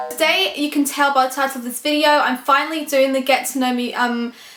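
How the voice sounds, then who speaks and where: Over music in the background, a woman talks loud and at a fairly quick pace, her high voice showing ordinary pitch variation. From Scotland. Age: 20s. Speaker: vlogger. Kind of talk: casual chat. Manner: chatty, with many fillers.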